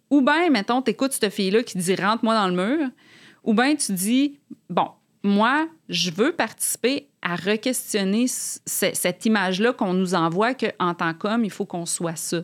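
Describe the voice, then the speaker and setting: In a very clean recording with a silent background, an ordinary speaking voice moves at a fairly slow pace with lively intonation. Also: woman, fairly high pitch for a woman. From Quebec City, Quebec. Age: 40s. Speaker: author. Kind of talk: casual interview chat.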